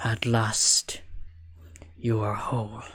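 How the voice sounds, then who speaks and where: A man whispers in a raspy, put-on character voice. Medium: actual play. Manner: whispering, seductive.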